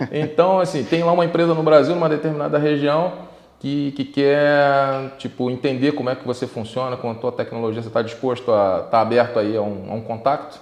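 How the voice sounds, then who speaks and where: Over noticeable background noise, a man with a Brazilian accent talks at a fairly quick pace in a fairly high voice with ordinary pitch variation. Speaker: podcast host. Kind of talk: interview. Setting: studio.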